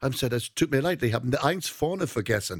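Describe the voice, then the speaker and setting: A man speaks with an English accent at a medium pitch. The sound is dry and close, with no echo. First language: English (speaking German). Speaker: singer and entertainer. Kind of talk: interview. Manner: halting, mixing English and German.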